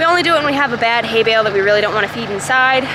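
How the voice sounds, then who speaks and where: A woman speaks in a raised, projected voice at a very fast pace with ordinary pitch variation. Noticeable background noise sits in a dry sound with no echo. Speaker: farm vlogger. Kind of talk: casual vlog chat. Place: farm machine. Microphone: phone near.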